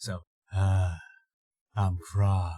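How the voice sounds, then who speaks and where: A man's breathy, put-on character voice, very deep in pitch and flat and monotone in intonation. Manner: dopey.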